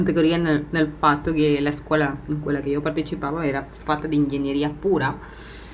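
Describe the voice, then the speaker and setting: A woman's very deep, low voice in a Spanish accent, monotone and flat at a moderate pace, over noticeable background noise. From Argentina. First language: Spanish (speaking Italian). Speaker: podcast host. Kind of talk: personal monologue. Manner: laughs often.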